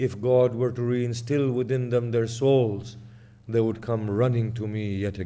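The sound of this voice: The reading voice is unforced and its intonation fairly even.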